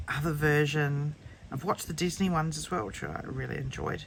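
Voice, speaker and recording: A woman speaks in an Australian accent. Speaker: colouring channel host. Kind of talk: casual book flip-through. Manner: hesitant, many ums.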